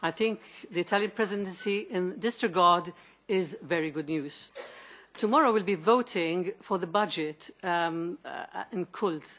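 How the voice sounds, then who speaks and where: A woman speaks with a Maltese accent. Her pace is fairly slow. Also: ordinary pitch variation. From Malta. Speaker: member of European Parliament. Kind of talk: committee hearing question. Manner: halting. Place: meeting room. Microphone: podium.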